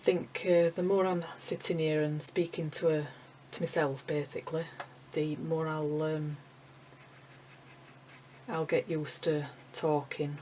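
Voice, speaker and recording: A woman with a Yorkshire accent speaks at a moderate pace, her pitch very deep and low. Her intonation is monotone and flat, with noticeable background noise behind her. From Yorkshire, England. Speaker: acrylic painter, art tutor. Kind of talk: casual talk while painting, tutorial. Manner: slightly awkward, hesitant.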